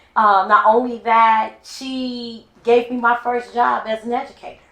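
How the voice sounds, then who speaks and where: A woman's ordinary speaking voice with an American accent, fairly high pitch and fairly even intonation. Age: 50s. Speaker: podcast host and educator. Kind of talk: casual interview chat.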